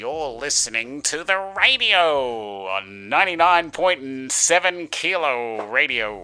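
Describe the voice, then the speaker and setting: Using a put-on character voice, a man speaks at a fairly slow pace. His medium pitch swings very widely. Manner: full radio voice.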